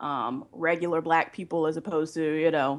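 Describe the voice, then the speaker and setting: Fairly even intonation over a quiet background. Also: woman. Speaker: website founder and blogger. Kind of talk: casual interview.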